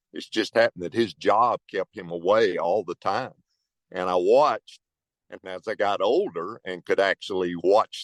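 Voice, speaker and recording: A man talks at a moderate pace. The sound is dry and close with no echo, over a quiet background. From Texas. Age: 60s. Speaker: podcast co-host, transportation safety consultant. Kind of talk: casual podcast conversation.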